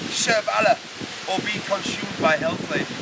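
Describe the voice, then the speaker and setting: A man's high-pitched voice with noticeable background noise. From United Kingdom. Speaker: poet. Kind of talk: poetry reading.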